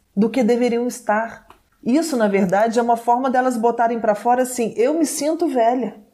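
This is a woman with an ordinary speaking voice, pitched fairly high with ordinary pitch variation. She keeps a moderate pace. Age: 40s. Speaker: TV presenter. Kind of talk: casual chat.

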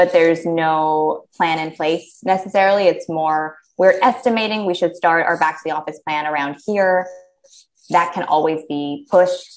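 A plain, everyday voice with an American accent, ordinary pitch variation and a moderate pace. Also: woman, fairly low pitch for a woman. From USA. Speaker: diversity and inclusion consultant. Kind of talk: casual interview. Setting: small office, video call.

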